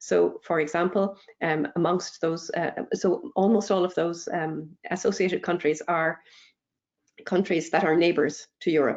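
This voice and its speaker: A woman with an Irish accent speaks at a moderate pace, her fairly low pitch carried in fairly even intonation. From Ireland. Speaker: EU research funding speaker. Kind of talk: webinar Q&A. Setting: online webinar.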